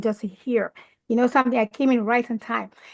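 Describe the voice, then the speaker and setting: High in pitch and animated in tone, a woman speaks with a dry, close sound and no echo against a quiet background. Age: 60s. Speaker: caller on a network marketing call. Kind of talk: testimony.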